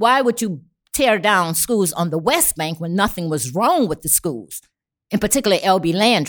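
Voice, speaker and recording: A woman talks with a New Orleans accent and lively intonation. The recording is very clean, with a silent background. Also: medium pitch for a woman, moderate pace. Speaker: community activist. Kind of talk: casual chat. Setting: studio.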